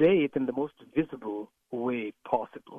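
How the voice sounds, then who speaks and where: A man speaks at a medium pitch with a Caribbean accent. His pitch varies in an ordinary way. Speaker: pastor. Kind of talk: radio interview.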